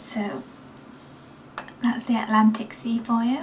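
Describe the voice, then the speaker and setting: Over noticeable background noise, a woman with an East Midlands accent speaks at a high pitch with monotone, flat intonation. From East Midlands of England (Nottingham). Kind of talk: casual vlog chat.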